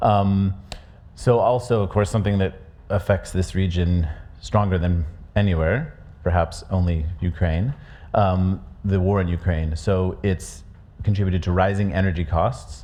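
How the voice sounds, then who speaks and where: A man speaks at a very deep, low pitch in a dark, mellow, somewhat breathy tone, his loudness very even and his pitch variation ordinary. He keeps a moderate pace with long, frequent pauses, and audible room echo surrounds him. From USA. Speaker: conference speaker presenting a research report. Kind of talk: conference presentation. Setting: conference stage with audience. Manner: hesitant, many fillers and restarts.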